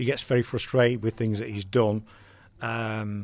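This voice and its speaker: A man speaks at a moderate pace in an English accent. The recording is very clean, with a silent background. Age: 50s. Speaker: radio host. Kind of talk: casual chat.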